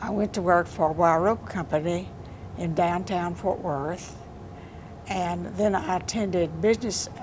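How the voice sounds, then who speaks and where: Speaking fairly slowly with a Texan accent, a woman keeps a fairly low pitch and fairly even intonation. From Texas, Johnson County (Rio Vista). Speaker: poet. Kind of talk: interview.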